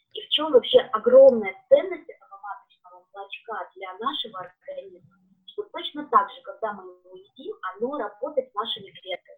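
This woman's high voice moves through very wide pitch swings and big swings in loudness at a moderate pace. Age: 40s. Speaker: beekeeping products consultant. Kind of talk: live-stream interview.

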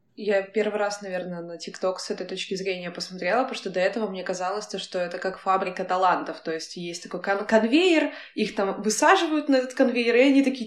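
With noticeable background noise behind her, a woman talks at a fairly quick pace with hardly any pauses and big swings in loudness. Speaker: podcast co-host. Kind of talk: casual interview chat.

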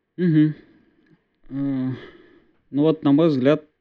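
Pitch varies in an ordinary way as a man keeps to a moderate pace. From Bashkortostan, Russia (village near Ufa). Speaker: DevOps engineer, co-host. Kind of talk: casual tech discussion. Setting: video call from parents' home. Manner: frequent filler words.

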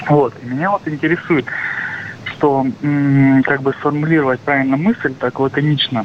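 There is noticeable background noise behind this man's fairly high voice. He talks at a moderate pace with very even loudness and fairly even intonation. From Russia, Krasnoyarsk. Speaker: caller. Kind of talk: phone-in question. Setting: phone call. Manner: halting.

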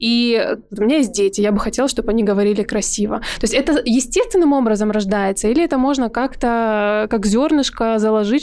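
A woman's fairly high voice at a fairly quick pace, with ordinary pitch variation and very even loudness. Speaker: podcast host. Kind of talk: casual interview chat. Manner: warm, animated, cheerful.

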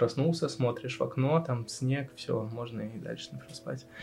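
Noticeable background noise sits under the voice. At a moderate pace, a man talks with a medium pitch and ordinary pitch variation. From Russian Far East, Vladivostok. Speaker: designer. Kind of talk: casual chat.

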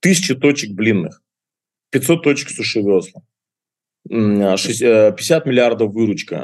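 Speaking at a very slow pace, a man talks with a fairly low pitch. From Russian Far East (Kuril Islands). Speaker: restaurant entrepreneur. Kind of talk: interview. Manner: animated.

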